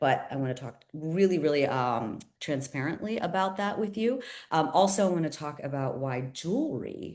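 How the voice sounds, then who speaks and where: A woman with an American accent speaks at a fairly quick pace, her pitch swinging very widely. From Pittsburgh, Pennsylvania. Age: 40s. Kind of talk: sales pitch. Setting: video call. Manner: animated.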